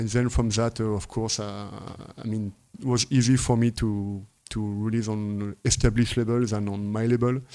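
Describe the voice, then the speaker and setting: A man with a French accent speaks at a fairly low pitch and a moderate pace, with a dark, mellow tone. His intonation is monotone and flat, on a very clean recording with a silent background. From northern France, Lille. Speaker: techno producer and DJ. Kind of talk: interview. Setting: at host's home. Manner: halting.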